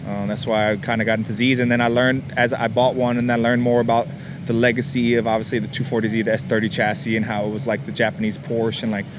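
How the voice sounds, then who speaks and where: A man's medium pitch at a very fast pace with hardly any pauses and fairly even intonation, over noticeable background noise. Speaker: car enthusiast. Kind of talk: interview answer. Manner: casual, hesitant with fillers.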